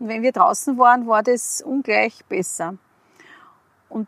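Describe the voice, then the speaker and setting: Dry and close with no echo, a woman's voice is heard. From Upper Austria, rural. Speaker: kindergarten teacher. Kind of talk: casual interview. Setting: outdoors in a forest.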